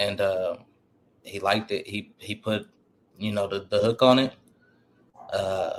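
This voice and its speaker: With an American accent, a man speaks at a fairly slow pace, leaving long, frequent pauses. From Portland, Oregon. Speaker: rapper. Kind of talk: interview.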